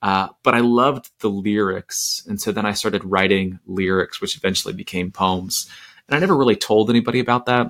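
Speaking at a fairly quick pace, a man with an American accent uses a fairly low pitch and ordinary pitch variation. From Florida, US. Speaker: poet and speaker. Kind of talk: casual interview chat. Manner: halting, many fillers and restarts.

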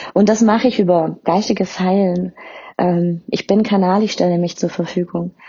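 The delivery is somewhat breathy, moving at a moderate pace with very even loudness. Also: woman, medium pitch for a woman, fairly even intonation. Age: 30s. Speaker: podcast host and spiritual medium. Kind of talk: personal introduction monologue.

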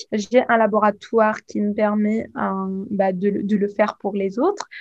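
Here a woman speaks at a fairly slow pace. Her voice is fairly high and somewhat breathy. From Tunisia. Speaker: pharmacist and cosmetics entrepreneur. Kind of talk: interview. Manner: halting.

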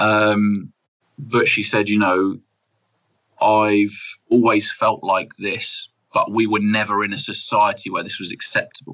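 A man speaks at a fairly slow pace. His speech has long, frequent pauses. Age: 30s. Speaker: mental health speaker and businessman. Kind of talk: interview testimony.

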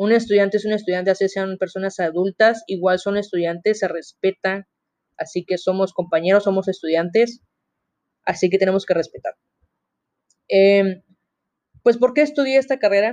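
A woman at a medium pitch with ordinary pitch variation, a moderate pace, and long, frequent pauses. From Mexico, Veracruz (Coatzacoalcos). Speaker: university student podcaster. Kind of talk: casual monologue.

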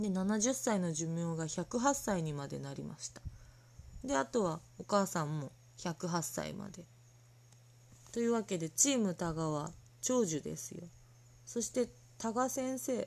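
A woman with a fairly low pitch speaks at a fairly slow pace with very wide pitch swings, big swings in loudness and long, frequent pauses against a quiet background. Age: 30s. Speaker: podcast host. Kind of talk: casual chat.

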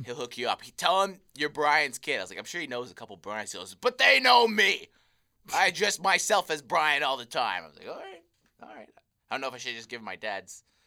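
A man's fairly high, bright, sharp voice with vocal fry, very wide pitch swings, big swings in loudness, and a fairly quick pace. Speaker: podcast co-host. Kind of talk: casual chat.

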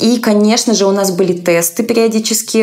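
A woman's intonation stays fairly even. Noticeable background noise runs behind her voice. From Russia, small town. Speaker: content moderator and psychologist. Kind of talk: interview.

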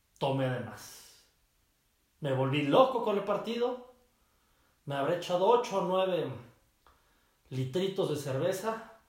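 The voice sounds animated and swings very widely in pitch. It moves at a fairly slow pace with audible room echo. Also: man. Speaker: sports podcast host. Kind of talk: casual solo sports talk. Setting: his mother's office.

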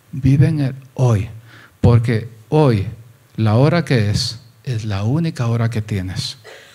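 At a very slow pace with long, frequent pauses, a man speaks at a medium pitch in a dark, mellow, somewhat breathy voice with ordinary pitch variation. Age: 60s. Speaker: pastor. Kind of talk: sermon.

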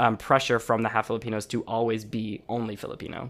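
An ordinary speaking voice at a fairly quick pace, on a very clean recording with a silent background. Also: man. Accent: American. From Chicago, US. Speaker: singer and journalist. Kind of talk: casual interview chat. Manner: casual, filler-heavy.

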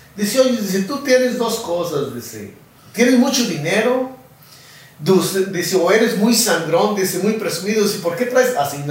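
A man talks at a moderate pace with lively intonation. Room echo is audible, and there is noticeable background noise. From rural Mexico. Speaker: charro and rodeo roper. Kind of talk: casual interview. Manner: halting, many fillers.

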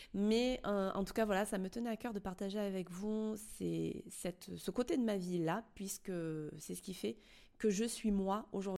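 At a fairly slow pace, a woman speaks at a medium pitch with fairly even intonation and a dark, mellow tone. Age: 30s. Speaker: podcast host. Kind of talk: casual monologue. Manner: hesitant.

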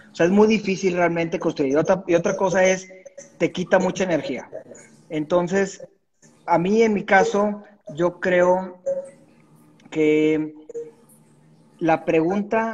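A man speaks at a fairly slow pace in a high voice. His intonation stays fairly even. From Monterrey, northern Mexico. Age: 40s. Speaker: entrepreneur. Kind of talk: interview.

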